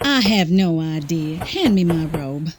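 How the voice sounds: A woman's put-on character voice, low-pitched, with a slightly husky edge and a fairly slow pace. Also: lively intonation.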